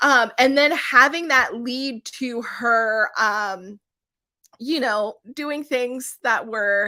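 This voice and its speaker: Speaking at a very slow pace, a woman uses a high pitch with ordinary pitch variation on a very clean recording with a silent background. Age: 30s. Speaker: book reviewer. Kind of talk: live stream book discussion. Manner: halting.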